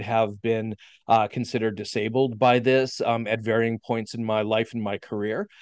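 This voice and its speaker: In a Canadian Prairie accent, a man talks at a moderate pace and medium pitch, his intonation fairly even. The sound is dry and close with no echo, over a quiet background. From Saskatchewan, Canada. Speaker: physical therapist and professor. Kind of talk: casual interview.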